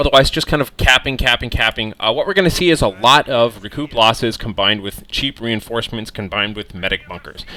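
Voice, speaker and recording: A man with an American accent at a very fast pace, hardly any pauses, medium pitch and lively intonation. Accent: American, says he mispronounces German words. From United States. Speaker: video game commentator. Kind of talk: game replay commentary. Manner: casual, filler-heavy.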